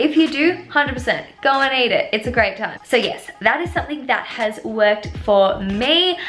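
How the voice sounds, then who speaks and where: High-pitched woman at a moderate pace, lively intonation, hardly any pauses, music in the background. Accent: Australian. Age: 20s. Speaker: vlogger. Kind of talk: casual chat.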